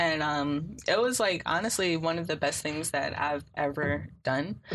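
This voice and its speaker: Against a quiet background, a woman with a very deep, low pitch speaks with lively intonation and vocal fry. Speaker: sociology student. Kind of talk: casual chat.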